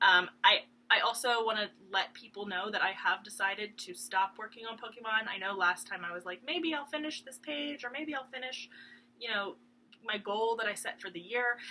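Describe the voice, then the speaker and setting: Loud and bright, a woman with a fairly high pitch speaks in a sharp tone at a moderate pace. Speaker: cross stitch video blogger. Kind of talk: casual chat. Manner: rambling with many ums and hesitations.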